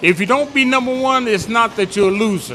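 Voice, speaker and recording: A man's raised, projected voice with ordinary pitch variation amid noticeable background noise. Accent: American. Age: 80s+. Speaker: audience member at community panel. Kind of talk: public comment at a community forum. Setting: bistro with live audience.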